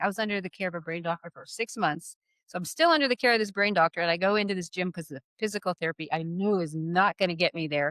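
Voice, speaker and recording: At a fairly quick pace, a woman with an unremarkable speaking voice and medium pitch is heard in a dry, close recording with no echo. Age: 60s. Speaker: learning expert and fitness business partner. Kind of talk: casual chat.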